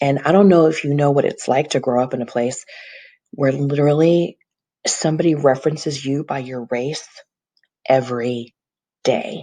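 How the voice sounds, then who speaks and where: A woman's very deep, low voice with a dark, mellow tone and an American accent, at a moderate pace with ordinary pitch variation. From US South, Tennessee. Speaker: real estate agent. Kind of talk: personal video monologue. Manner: earnest, reflective.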